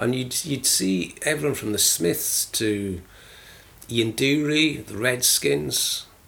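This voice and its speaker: At a very slow pace, a man with a medium-pitched voice speaks with lively intonation. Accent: South Wales. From Wales, South Wales valleys (Aberdare). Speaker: radio DJ and music publicist. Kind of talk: casual interview.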